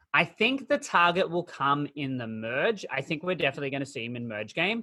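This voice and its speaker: An Australian accent at a fairly quick pace. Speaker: podcast host. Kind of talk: casual chat. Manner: animated.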